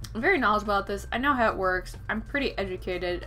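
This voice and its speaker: A woman's voice over faint background music. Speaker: book reviewer. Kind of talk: casual vlog chat. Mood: exasperated, opinionated rant. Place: home room. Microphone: webcam.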